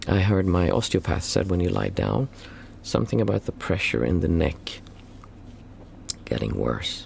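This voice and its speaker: A man speaks at a moderate pace. His voice is very deep and low, with vocal fry. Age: 40s. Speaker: meditation teacher. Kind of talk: Q&A livestream. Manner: halting.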